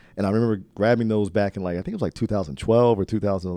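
Against a quiet background, a man with an American accent speaks at a fairly quick pace and a fairly low pitch. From New Jersey, Trenton. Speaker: real estate entrepreneur, podcast host. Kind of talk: casual interview chat. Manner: animated.

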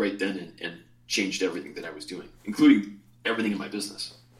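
Noticeable background noise sits behind the speaker. He is a man with an American accent and a fairly low voice. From Chicago, US Midwest. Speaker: essential oils teacher and retreat leader. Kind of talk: interview; guided exercise.

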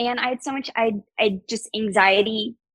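The voice has an American accent and a bright, sharp tone, captured with a dry, close sound with no echo. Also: woman. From US South. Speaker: podcast guest. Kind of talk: casual interview chat. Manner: fast talker.

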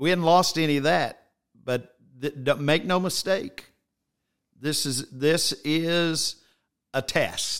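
Very slow and broken by long, frequent pauses, a man's fairly high voice shows ordinary pitch variation. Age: 60s. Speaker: bishop, church leader. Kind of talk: casual religious conversation. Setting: church office, streamed online.

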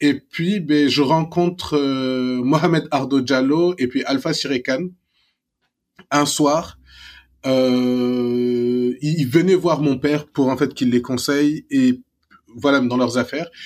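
A man's fairly high voice at a very slow pace, with long, frequent pauses, very even loudness and fairly even intonation. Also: very clean recording, silent background. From Senegal, Dakar. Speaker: serial entrepreneur and investor. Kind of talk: interview.

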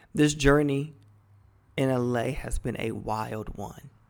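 A man speaks in an animated tone with an American accent. His pitch is fairly high. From Cleveland, Ohio, US Midwest. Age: 30s. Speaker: podcast host and dating coach. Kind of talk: personal storytelling monologue. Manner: animated, laughing often.

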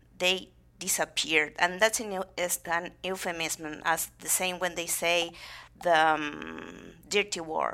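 A woman's very slow, fairly low voice with a Spanish accent, vocal fry, a bright, sharp tone and fairly even intonation, in a very clean recording with a silent background. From Argentina, Buenos Aires province. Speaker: theatre founder and actress. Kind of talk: interview.

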